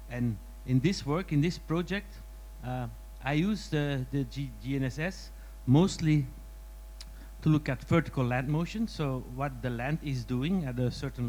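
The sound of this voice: With lively intonation, a man speaks at a medium pitch and a moderate pace.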